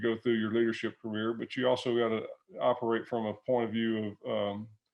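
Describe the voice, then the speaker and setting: A man at medium pitch speaks with a slight Southern US accent. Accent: slight Southern country twang. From US South, Alabama. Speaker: retired business executive. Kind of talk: interview. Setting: video call. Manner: conversational, many fillers and repeated words.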